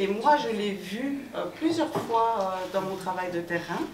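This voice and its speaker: A woman at medium pitch speaks very slowly with lively intonation. Audible room echo and light background noise surround her. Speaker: sociologist of the arts sector; panelist. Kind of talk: panel discussion. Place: hall.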